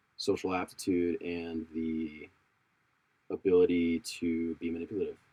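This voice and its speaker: A man's somewhat breathy, very deep voice with a dark, mellow tone, flat monotone intonation and a moderate pace. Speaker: podcast guest. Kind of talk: casual chat.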